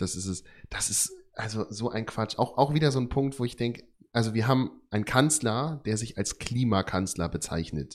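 In a very clean recording with a silent background, a man with an ordinary speaking voice talks at a moderate pace, his medium pitch carried by lively intonation. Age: 20s. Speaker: care worker and podcast co-host. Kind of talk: casual chat.

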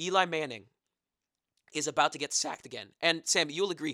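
A man with an American accent sounds animated, his tone bright and sharp. The recording is very clean with a silent background, and the sound is dry and close with no echo. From New Jersey. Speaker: sports podcast co-host. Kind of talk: casual chat.

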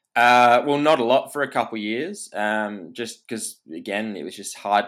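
A man in an Australian accent at a moderate pace, with ordinary pitch variation, in a very clean recording with a silent background. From Perth, Western Australia. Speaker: hunter and content creator. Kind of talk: casual chat.

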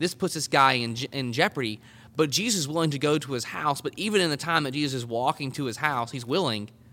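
In an Arkansas accent, a man talks at a very fast pace with a fairly high pitch, a bright, sharp tone and ordinary pitch variation. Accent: Southern US (Arkansas). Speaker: collegiate ministry leader. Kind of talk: casual discussion of scripture. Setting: on location at a college campus.

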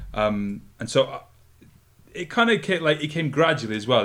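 A man with a Scottish accent at a moderate pace. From Scotland. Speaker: podcast co-host, climbing media company founder. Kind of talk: casual chat. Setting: office in a living room.

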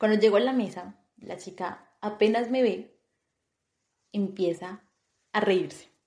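A woman at medium pitch with a dark, mellow tone, ordinary pitch variation, a fairly slow pace and long, frequent pauses. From Colombia, Bogotá. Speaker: podcast co-host. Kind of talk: casual chat.

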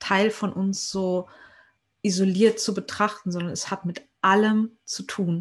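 A woman speaks at a very slow pace with a medium pitch, a somewhat breathy voice and fairly even intonation over a quiet background. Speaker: podcast host and trained musical performer. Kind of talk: casual interview chat.

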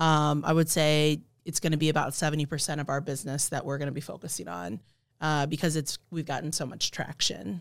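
Very deep and low, a woman's voice comes at a fairly quick pace. The recording is very clean, with a silent background. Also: ordinary pitch variation. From Hawaii. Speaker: startup founder. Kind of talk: podcast interview.

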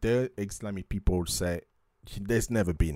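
A man at a moderate pace, dry and close with no echo, in a very clean recording with a silent background. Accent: French. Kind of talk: religious talk show discussing Bible prophecy and news. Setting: studio.

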